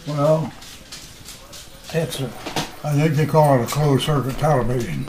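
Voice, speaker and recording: Amid noticeable background noise, a man with a fairly high pitch speaks at a moderate pace and fairly even intonation. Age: 80s+. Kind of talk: interview answer. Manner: hesitant, conversational.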